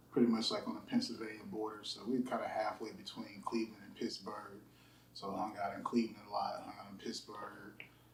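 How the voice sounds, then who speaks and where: Talking at a fairly quick pace with an American accent, a man's loudness swings widely amid audible room echo. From US Midwest, Youngstown, Ohio. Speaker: music engineer. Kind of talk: casual interview.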